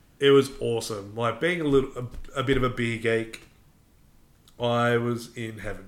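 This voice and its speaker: Medium-pitched male voice in an Australian accent, fairly even intonation, moderate pace, long and frequent pauses. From Melbourne, Australia. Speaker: podcast co-host. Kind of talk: casual chat.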